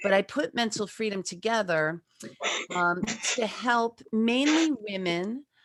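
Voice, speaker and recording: A woman with an unremarkable speaking voice talks at a fairly slow pace, her pitch fairly high and her intonation lively. The sound is dry and close with no echo, in a very clean recording with a silent background. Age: 60s. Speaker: life coach and author. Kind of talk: presentation with slides.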